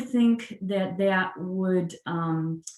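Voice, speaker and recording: A woman speaks very slowly with a somewhat breathy, medium-pitched voice. Her intonation is lively. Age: 60s. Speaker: judge. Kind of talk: casual interview. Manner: hesitant fillers (um).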